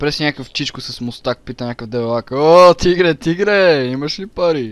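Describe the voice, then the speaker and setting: A man's lively intonation in a dry sound with no echo. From Bulgaria. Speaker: gaming YouTuber. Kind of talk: casual chat.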